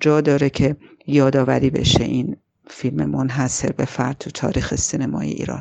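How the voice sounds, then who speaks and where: Moderately paced speech from a woman, very deep and low in pitch, with vocal fry. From Iran, Tehran. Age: 40s. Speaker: film critic and screenwriter. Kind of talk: personal narrative. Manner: halting.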